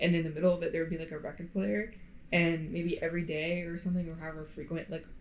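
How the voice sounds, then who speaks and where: Amid audible room echo, a woman with an American accent and a fairly low pitch talks at a very fast pace with fairly even intonation. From Florida. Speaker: podcast co-host. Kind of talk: casual chat. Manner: hesitant, many fillers. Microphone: poor podcast mic.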